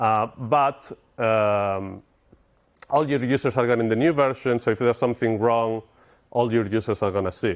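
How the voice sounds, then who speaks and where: On a very clean recording with a silent background, a man with a Spanish accent speaks at a moderate pace in a medium-pitched voice. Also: fairly even intonation. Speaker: software engineer, conference speaker. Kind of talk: conference talk. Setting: stage with audience.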